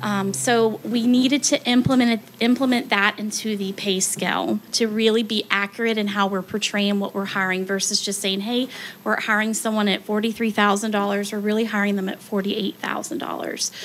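In a plain, everyday voice, a woman with a fairly high pitch talks at a fairly quick pace with hardly any pauses and fairly even intonation over light background noise. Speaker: human resources director; presenter. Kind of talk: presentation at public meeting. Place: hall. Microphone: podium.

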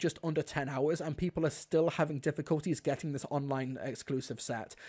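A man with a dark, mellow tone speaks at a very fast pace against a quiet background. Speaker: livestream host. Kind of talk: commentary. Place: home room.

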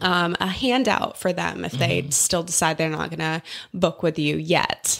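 Speaking at a moderate pace, a woman uses a fairly low pitch with ordinary variation and vocal fry. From South Dakota. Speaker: physical therapist. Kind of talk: casual chat.

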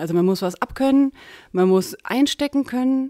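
In a very clean recording with a silent background, a woman speaks with lively intonation and a dark, mellow tone. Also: dry, close sound with no echo. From Lower Franconia, Germany (Aschaffenburg area). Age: 40s. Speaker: farmer and local politician. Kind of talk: interview.

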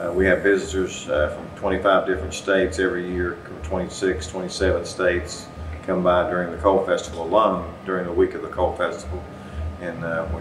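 A man's very deep, low voice in a monotone, flat delivery at a fairly quick pace, over noticeable background noise. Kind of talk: interview answer.

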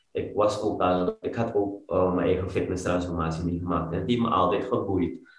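A man speaks with a very deep, low pitch and hardly any pauses. The background is quiet, with audible room echo. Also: ordinary pitch variation, moderate pace. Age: 30s. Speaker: fitness coach, former banker. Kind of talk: interview. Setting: studio, sitting on the floor. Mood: earnest, reflective. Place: home room. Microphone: video call.

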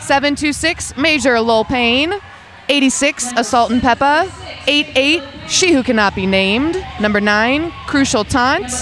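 A woman with a high pitch and lively intonation speaks at a moderate pace and very even loudness, the sound dry with no echo over light background noise. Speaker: roller derby commentator and skater; roller derby commentator. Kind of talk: sports commentary, explaining rules and jams; sports commentary. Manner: casual, chatty, jokey. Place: hall.

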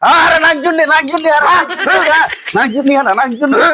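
Over faint background noise, a man talks fast in a put-on character voice, extremely high-pitched, with a bright, sharp tone and ordinary pitch variation.

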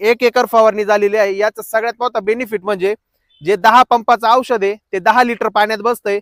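Recorded with a dry, close sound and no echo, a man speaks at a high pitch in a monotone, flat way. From Maharashtra, Akole taluka, Ahilyanagar district. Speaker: farmer and vlogger. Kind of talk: casual vlog narration. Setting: outdoors in a farm field.

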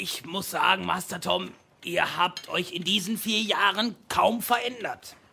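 A man puts on a raspy character voice, pitched high for a man and delivered at a fairly slow pace. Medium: audio drama. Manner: eager, deferential, old-fashioned formal address.

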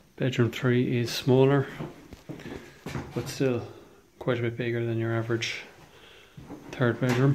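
Noticeable background noise sits behind a man's voice. He speaks at a fairly slow pace with monotone, flat intonation and long, frequent pauses. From Ireland. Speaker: estate agent / auctioneer. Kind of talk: property viewing walkthrough narration. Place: home room. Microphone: phone near.

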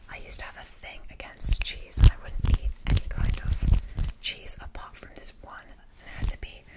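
A woman talks at a moderate pace. Loud background noise is heard behind her. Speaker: ASMR creator. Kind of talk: casual soft-spoken ASMR chat. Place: home room. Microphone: studio mic.

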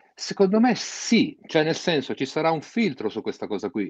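A man speaks fairly slowly at a fairly high pitch, with vocal fry and very wide pitch swings. The sound is dry with no echo, over a quiet background. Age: 50s. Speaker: DJ and music producer; DJ. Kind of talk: interview. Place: home room. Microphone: video call.

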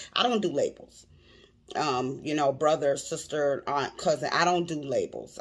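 A woman's very deep, low voice against a quiet background. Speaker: vlogger commenting on a clip. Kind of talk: casual vlog chat. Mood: earnest, personal. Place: home room. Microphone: phone near.

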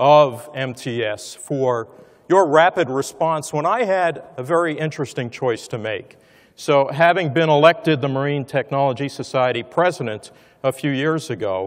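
Speaking at a medium tempo, a man uses normal rises and falls in pitch. Little can be heard behind him. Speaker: conference speaker. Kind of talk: speech. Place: hall. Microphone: lapel.

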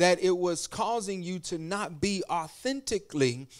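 A man with a high pitch speaks at a moderate pace and ordinary pitch variation against a quiet background. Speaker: pastor. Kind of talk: sermon. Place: church. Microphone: handheld.

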